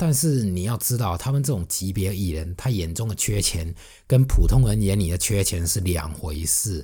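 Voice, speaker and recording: In a Fujian accent, the speaker uses a somewhat breathy, dark, mellow tone with lively intonation at a moderate pace, on a very clean recording with a silent background. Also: man, very deep, low pitch for a man. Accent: Fujian accent in Mandarin. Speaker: music blogger and podcast host. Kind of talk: solo podcast monologue. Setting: alone at a microphone.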